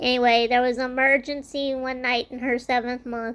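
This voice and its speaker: A high-pitched woman speaks at a moderate pace in a monotone, flat intonation. The recording is very clean, with a silent background. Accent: American. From Louisiana, Cajun Country. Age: 30s. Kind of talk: personal life story monologue. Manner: some hesitations and fillers.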